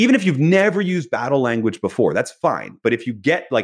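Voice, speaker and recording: A man speaks at a fairly quick pace with very wide pitch swings. The background is quiet. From US Northeast, Philadelphia. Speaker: business author. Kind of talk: interview.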